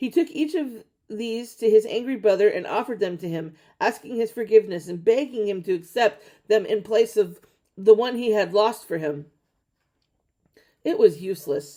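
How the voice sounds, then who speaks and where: A woman puts on a raspy character voice, fairly high in pitch with very wide pitch swings. Her pace is moderate. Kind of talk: fairy tale reading. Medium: read story. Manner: steady, occasionally stumbling.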